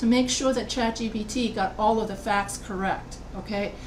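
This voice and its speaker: Over noticeable background noise and audible room echo, a woman with an American accent speaks at a moderate pace in a fairly high pitch with fairly even intonation. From United States. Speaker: college writing instructor. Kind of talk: lecture. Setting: video call.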